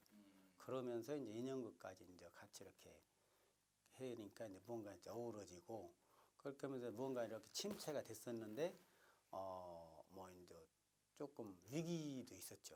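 A man's dark, mellow voice at a moderate pace, with lively intonation and big swings in loudness. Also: medium pitch for a man. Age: 50s. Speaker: traditional puppet theatre preservation society head. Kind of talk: interview answer.

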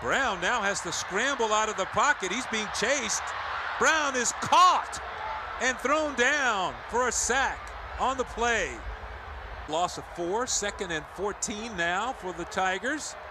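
Noticeable background noise surrounds a man speaking at a very slow pace. His pitch is extremely high and his intonation lively. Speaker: football play-by-play announcer. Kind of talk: live play-by-play game commentary. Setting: stadium broadcast.

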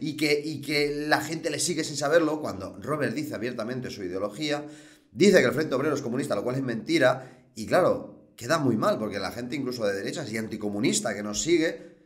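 With hardly any pauses, a man talks at a fairly quick pace. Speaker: political commentator. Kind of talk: commentary. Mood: irritated, mocking. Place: home room. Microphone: webcam.

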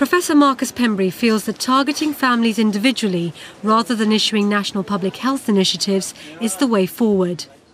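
Over noticeable background noise, a woman with a British accent speaks at a very fast pace with lively intonation. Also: fairly high pitch for a woman. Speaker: documentary presenter and reporter. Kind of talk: documentary narration and interviews.

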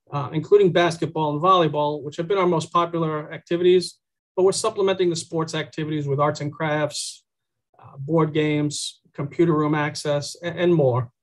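The man talks at a moderate pace with fairly even intonation. Behind him the background is quiet. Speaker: presenter. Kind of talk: presentation briefing. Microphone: video call.

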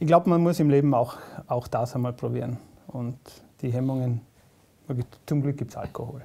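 A man's medium-pitched voice at a fairly quick pace, fairly even intonation, and long, frequent pauses. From South Tyrol. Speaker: comedian. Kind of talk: casual interview chat.

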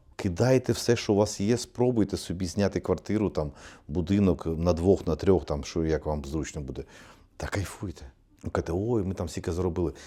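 The recording is very clean, with a silent background. A man with a dark, mellow tone speaks with very wide pitch swings. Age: 50s. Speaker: psychologist blogger. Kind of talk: monologue to camera.

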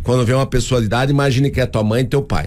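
A man speaks at a very fast pace. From Paraná, Brazil (União da Vitória); Paraná, Brazil. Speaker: mayor. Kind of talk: radio interview. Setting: radio studio. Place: studio. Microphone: studio mic.

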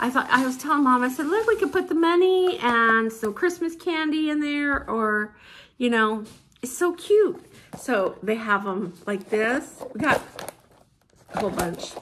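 A woman's high-pitched voice with very wide pitch swings at a fairly slow pace, over light background noise. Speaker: vlogger. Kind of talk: casual vlog haul. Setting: at home, filming herself with mom nearby. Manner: chatty, informal. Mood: cheerful, delighted. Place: home room. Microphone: phone near.

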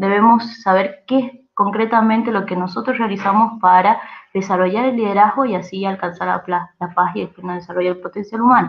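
A woman speaks with an Argentine accent at a moderate pace. Her pitch varies in an ordinary way. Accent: Argentine Spanish (Rioplatense). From Argentina. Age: 20s. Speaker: youth organization presenter. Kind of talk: training presentation. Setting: recorded online session. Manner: hesitant with frequent fillers. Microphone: video call.

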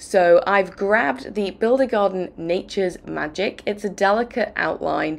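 A croaky woman's voice at medium pitch with vocal fry and a fairly slow pace. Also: ordinary pitch variation.

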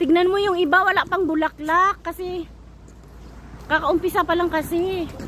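Loud and at a moderate pace, a woman speaks at an extremely high pitch with monotone, flat intonation. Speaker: vlogger. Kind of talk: casual vlog chat while hiking. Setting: outdoors on a mountain trail.

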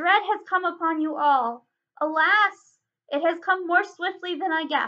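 Using a put-on character voice, a woman speaks at an extremely high pitch with a bright, sharp tone, a fairly slow pace and ordinary pitch variation.

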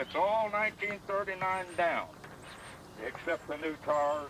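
With noticeable background noise behind him, a man speaks at a high pitch with ordinary pitch variation in a dry sound with no echo. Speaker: antique tractor collector. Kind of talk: demonstration explanation. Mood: proud, relaxed. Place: open country. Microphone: camera far.

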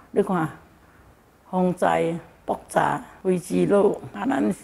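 Against light background noise, a woman talks at a very slow pace. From Malaysia. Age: 70s. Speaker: charity volunteer. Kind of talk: interview answer. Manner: cheerful, upbeat. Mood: cheerful, laughing. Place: home room. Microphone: handheld.

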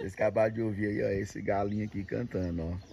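Light background noise sits behind a man's somewhat breathy voice. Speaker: video blogger showing farm life. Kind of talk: casual talk to camera. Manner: upbeat. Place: farm machine. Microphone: phone near.

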